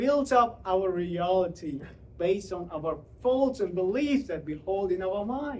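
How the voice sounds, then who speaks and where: A man speaks with a Central Asian accent at a high pitch. His pace is fairly slow and his intonation is lively. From Uzbekistan. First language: Tajik. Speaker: public speaker. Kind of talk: motivational talk.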